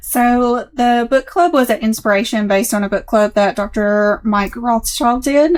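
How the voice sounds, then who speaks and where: A woman speaks in a Southern US accent at a fairly high pitch. Her pace is moderate. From US South, Middle Tennessee. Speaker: practice manager. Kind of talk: interview.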